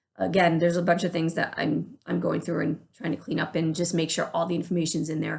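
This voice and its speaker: A woman speaks at a very fast pace with vocal fry. Her pitch is fairly low and her intonation fairly even. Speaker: church worship leader. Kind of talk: informal team update video.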